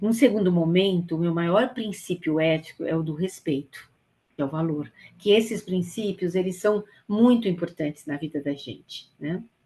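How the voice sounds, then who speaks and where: A woman's fairly low, somewhat breathy voice with a dark, mellow tone, a moderate pace and ordinary pitch variation. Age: 60s. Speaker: volunteer trainer. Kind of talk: training lecture. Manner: hesitant, with fillers.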